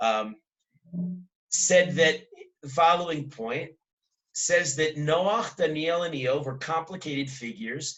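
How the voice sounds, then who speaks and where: With big swings in loudness and long, frequent pauses, a man speaks at a fairly high pitch with ordinary pitch variation. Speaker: rabbi teaching a Torah class. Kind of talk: lecture. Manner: fast.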